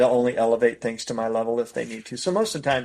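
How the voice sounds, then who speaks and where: A man with a normal speaking voice, an American accent, medium pitch and lively intonation, against a quiet background. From US West Coast (Bay Area, California). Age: 60s. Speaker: race director. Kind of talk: podcast interview. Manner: casual, with frequent repetitions and fillers.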